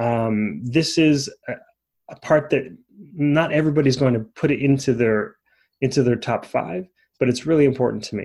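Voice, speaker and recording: With a normal speaking voice, a man talks at a moderate pace and medium pitch, with ordinary pitch variation. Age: 40s. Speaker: life coach podcast host. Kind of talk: solo podcast monologue. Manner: casual with frequent fillers.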